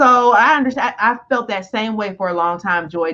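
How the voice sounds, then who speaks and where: Loud and fairly quick, a woman speaks with a bright, sharp tone and lively intonation. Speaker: business coach. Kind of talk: live-stream discussion. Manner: fast.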